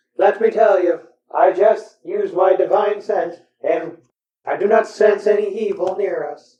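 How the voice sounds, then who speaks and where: Someone puts on a character voice with a fairly high pitch, delivered at a moderate pace. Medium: actual play. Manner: logical.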